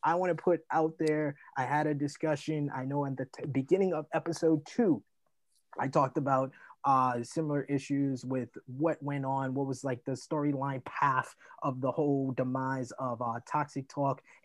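A man with an ordinary speaking voice talks at a moderate pace and fairly high pitch, his intonation fairly even. The background is quiet, and the sound is dry and close with no echo. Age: 30s. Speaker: podcast host. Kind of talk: casual chat.

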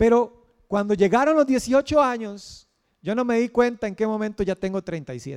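A man speaks with a high pitch and ordinary pitch variation at a fairly slow pace. The sound is dry and close, with no echo. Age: 30s. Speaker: pastor. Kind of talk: sermon.

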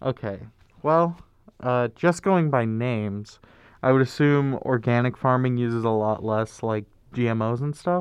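With an American accent, a plain, everyday voice speaks at a moderate pace with ordinary pitch variation against a quiet background. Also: man, medium pitch for a man. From Lincoln, Nebraska. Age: 20s. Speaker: college student radio DJ. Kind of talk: casual chat.

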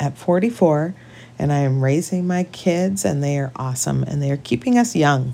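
A woman with a western Canadian accent speaks at a moderate pace. Her very deep, low pitch carries lively intonation. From British Columbia, Canada. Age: 40s. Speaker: podcast co-host. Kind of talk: casual chat.

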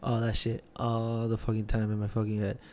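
A man's fairly low voice with a dark, mellow tone. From Puerto Rican background. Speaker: podcast host. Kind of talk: casual solo monologue.

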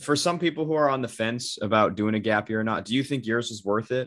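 With a normal speaking voice, a man talks at a medium pitch that shows ordinary variation. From US Pacific Northwest (Bend, Oregon). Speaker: podcast host. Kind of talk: casual chat.

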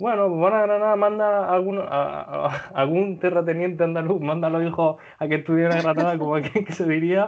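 A high-pitched man at a moderate pace with fairly even intonation and hardly any pauses. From Murcia, Spain. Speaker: podcast host. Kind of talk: casual chat.

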